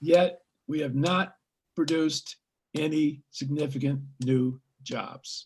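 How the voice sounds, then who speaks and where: Somewhat breathy and fairly high-pitched, a man speaks at a very slow pace with long, frequent pauses. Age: 80s+. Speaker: psychologist, scholar. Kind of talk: interview. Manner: animated, with hesitations.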